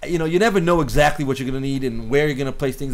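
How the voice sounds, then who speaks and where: A man with a fairly high pitch talks very fast, with ordinary pitch variation and noticeable background noise. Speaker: cinematographer teaching filmmaking. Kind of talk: tutorial. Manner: halting, many repeated words.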